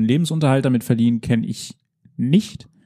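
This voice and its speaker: Pitch shifts by an ordinary amount. A dark, mellow tone colors the voice. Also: man. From Emsland, Lower Saxony, northern Germany. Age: 20s. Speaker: esports organizer and art history student. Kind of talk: interview.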